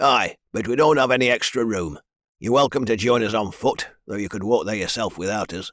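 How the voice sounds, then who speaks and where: A man puts on a raspy character voice at a fairly quick pace. His pitch is medium, with ordinary pitch variation. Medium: read story. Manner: gruff, blunt.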